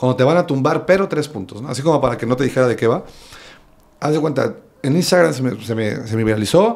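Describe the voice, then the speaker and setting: With a Veracruz Mexican accent, a man talks very fast in an animated tone with lively intonation. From Veracruz, Mexico. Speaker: stand-up comedian. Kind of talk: casual chat. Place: home room. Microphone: studio mic.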